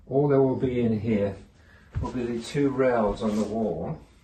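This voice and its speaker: A man's medium-pitched voice with lively intonation, a moderate pace and audible room echo. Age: 80s+. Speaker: homeowner vlogger. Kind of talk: casual walkthrough narration. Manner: halting, with self-corrections.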